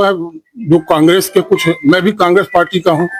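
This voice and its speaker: A man speaks at a high pitch. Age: 70s. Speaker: local politician. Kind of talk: news interview.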